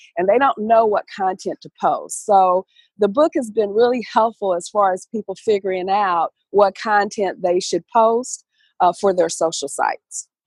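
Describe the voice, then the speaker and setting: Recorded very cleanly with a silent background, a woman speaks at a medium pitch with a Southern US accent. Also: ordinary pitch variation, dry, close sound with no echo. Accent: southern US drawl. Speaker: corporate trainer and author. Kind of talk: interview answer.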